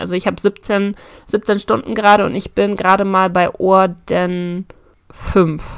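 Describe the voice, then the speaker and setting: This is a woman on a very clean recording with a silent background. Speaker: podcast host. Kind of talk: casual chat.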